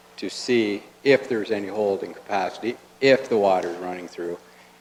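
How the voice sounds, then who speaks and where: Man with a Canadian accent, moderate pace and fairly even intonation, over noticeable background noise. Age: 60s. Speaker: farmer. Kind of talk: public comment at council meeting. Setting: council chamber. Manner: halting.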